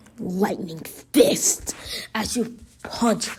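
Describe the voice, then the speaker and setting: A woman speaks in a somewhat breathy voice. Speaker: fan fiction storyteller. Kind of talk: improvised fan story narration. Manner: halting, many fillers and restarts.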